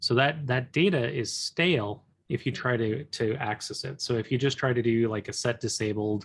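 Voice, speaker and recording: Mumbling and somewhat breathy, a man speaks at a medium pitch with ordinary pitch variation in a very clean recording with a silent background. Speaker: coding instructor. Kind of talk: live coding tutorial. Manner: halting, many fillers.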